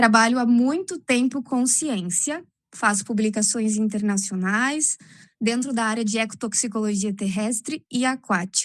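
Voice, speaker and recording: Against a quiet background, a woman talks at a fairly slow pace. Her voice is fairly high and somewhat breathy. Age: 30s. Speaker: art teacher and amateur poet. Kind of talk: casual chat. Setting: video call.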